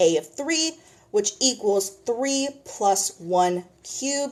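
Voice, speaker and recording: This woman's voice moves in very wide pitch swings. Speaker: math tutor. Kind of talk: tutorial.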